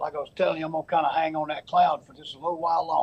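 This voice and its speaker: In a Southern US accent, a man talks at a very fast pace. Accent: Southern US (Georgia). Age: 70s. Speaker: high school baseball coach. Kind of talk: TV interview. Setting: TV studio.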